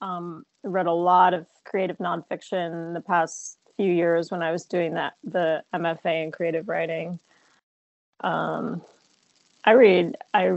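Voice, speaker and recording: A woman with an American accent speaks very slowly at a fairly low pitch. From New Jersey, near New York City. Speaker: filmmaker and actress. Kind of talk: interview.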